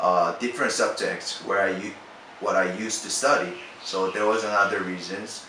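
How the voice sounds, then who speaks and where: Noticeable background noise and audible room echo accompany a man speaking at a fairly low pitch. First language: not English. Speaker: international student. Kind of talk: casual testimonial.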